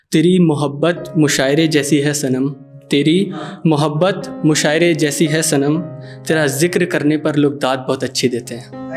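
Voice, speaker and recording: Over music in the background, a man speaks with a fairly high pitch and fairly even intonation. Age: young. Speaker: poet. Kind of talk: live spoken-word poetry performance with casual audience banter.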